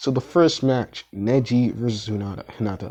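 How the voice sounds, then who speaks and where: The man has a dark, mellow tone at a medium pitch. He speaks at a fairly slow pace. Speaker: fan fiction storyteller. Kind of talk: casual narration of fan story. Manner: hesitant, with fillers.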